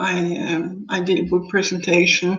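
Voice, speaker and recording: A woman with a medium-pitched voice talks amid audible room echo. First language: Dutch. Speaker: author. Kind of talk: live stream book presentation. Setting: live stream on Facebook and YouTube. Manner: halting.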